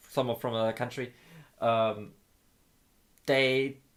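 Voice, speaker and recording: At a fairly slow pace, a man speaks with a German accent. The intonation is fairly even. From Germany. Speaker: gaming streamer. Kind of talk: casual chat. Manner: halting, many repeated words.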